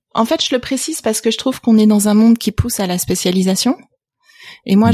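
A woman's somewhat breathy voice sits at a medium pitch with ordinary pitch variation, in a dry, close sound with no echo. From France, partly raised in Canada. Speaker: venture capital investor. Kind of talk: interview conversation.

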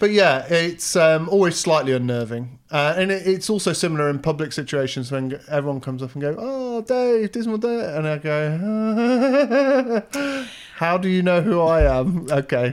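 A man with an English accent speaks at a moderate pace with hardly any pauses, his high pitch swinging very widely. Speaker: host's husband. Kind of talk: casual chat.

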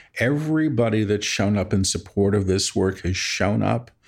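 A man's fairly low voice over music in the background. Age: 50s. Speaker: spiritual medium and author. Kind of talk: interview conversation.

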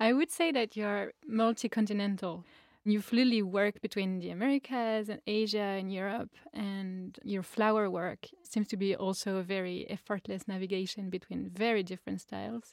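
With a French accent, a woman speaks at a medium pitch and moderate pace with ordinary pitch variation, in dry, close sound with no echo. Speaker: flower farmer and interviewer. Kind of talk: interview; tutorial. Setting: video call; outdoors.

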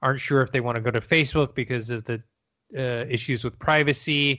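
Over a quiet background, a man with an ordinary speaking voice talks at a fairly quick pace and medium pitch. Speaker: podcast host. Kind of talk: casual chat.

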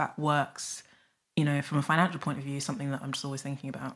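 This woman talks in a South London accent with a very deep, low pitch. The recording is very clean, with a silent background. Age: 30s. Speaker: author and money writer. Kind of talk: casual chat.

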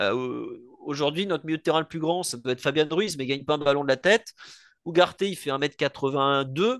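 In an ordinary speaking voice, a man with a fairly high pitch and ordinary pitch variation talks at a moderate pace, the sound dry and close with no echo. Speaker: football podcaster. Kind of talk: casual chat.

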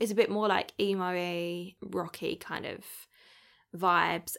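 This woman talks at a fairly slow pace in a medium pitch, with vocal fry. Her intonation is monotone and flat, and the recording is very clean with a silent background. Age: 30s. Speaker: dating podcast host. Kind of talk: casual monologue. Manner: chatty.

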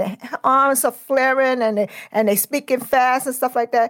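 With a New York accent, a woman speaks at a fairly quick pace in a high pitch and fairly even intonation, the sound dry and close with no echo on a very clean recording with a silent background. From Brooklyn, New York. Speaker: federal law enforcement manager. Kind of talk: interview.

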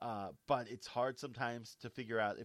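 This man has an ordinary speaking voice of medium pitch, with ordinary variation in pitch. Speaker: podcast co-host and editor. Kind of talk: casual chat. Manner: playful, joking.

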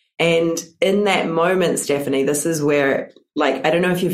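Someone with a New Zealand accent speaks at a moderate pace. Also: woman. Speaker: business and mindset coach. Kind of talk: interview testimony. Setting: video call.

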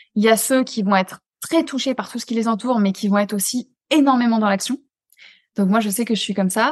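Fairly quick, somewhat breathy speech from a woman, fairly high in pitch with ordinary pitch variation, over a quiet background. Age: 20s. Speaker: neuroscience coach for highly sensitive people. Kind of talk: casual conversation interview.

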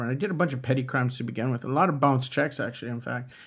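A man with a medium pitch speaks at a very fast pace. Audible room echo colors the recording. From US West Coast, East Los Angeles. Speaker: podcast co-host, writer and former bank robber. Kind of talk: interview.

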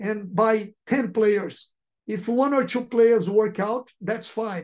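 A man speaks with a Portuguese accent at a high pitch. His intonation is fairly even. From Brazil. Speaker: football sporting director. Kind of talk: interview.

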